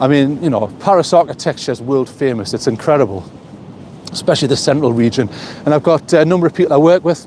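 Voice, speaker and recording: In a Geordie accent, a man talks at a very fast pace over noticeable background noise. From northern England, Newcastle. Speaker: vlogger. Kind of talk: casual live stream chat. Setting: outdoors, walking by the coast.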